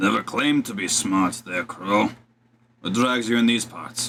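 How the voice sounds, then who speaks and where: A man puts on a raspy character voice. His pitch is medium. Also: moderate pace. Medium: actual play. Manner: gruff, casual.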